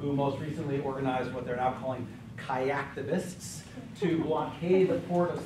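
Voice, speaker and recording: Fairly even intonation and a moderate pace come through audible room echo and noticeable background noise. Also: man. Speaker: college professor guest speaker. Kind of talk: lecture. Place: classroom.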